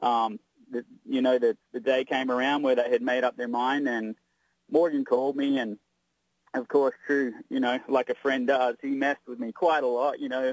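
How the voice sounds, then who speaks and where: An Australian accent marks this man's speech, delivered with monotone, flat intonation. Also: medium pitch for a man, moderate pace, dry, close sound with no echo. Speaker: drag racing driver. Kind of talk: interview.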